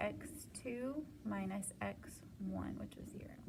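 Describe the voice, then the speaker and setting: Background noise is noticeable here. Over it, a woman talks. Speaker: math teacher. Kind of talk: homework help tutorial. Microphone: phone near.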